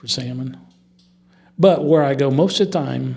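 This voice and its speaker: A man talks in a US Midwestern accent at a moderate pace. Room echo is audible. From Northwest Ohio, US Midwest. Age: 70s. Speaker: business owner. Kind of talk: interview.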